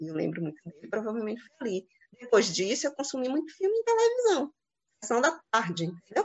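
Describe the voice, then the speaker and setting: At a fairly quick pace, a woman speaks in a high pitch with very wide pitch swings and big swings in loudness. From Bahia, Santo Antônio de Jesus. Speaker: architect and film director. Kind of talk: interview.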